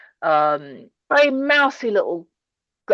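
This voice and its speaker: Against a quiet background, a woman's pitch swings very widely. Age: 60s. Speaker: scientist and women-in-STEM network founder. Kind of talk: presentation then interview. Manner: rambling, hesitant.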